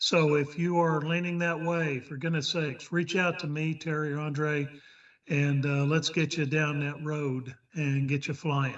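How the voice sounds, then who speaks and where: Against a quiet background, a man with a Texas accent talks at a fairly slow pace, his fairly high pitch held in a monotone, flat intonation. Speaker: flight instructor, check pilot. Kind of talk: club meeting remarks.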